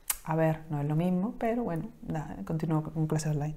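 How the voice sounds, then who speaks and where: In an Andalusian accent, a woman speaks with a dark, mellow tone. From Palma del Río, Córdoba, Andalusia. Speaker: knitting podcast co-host. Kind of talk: casual chat. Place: home room. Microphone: lapel.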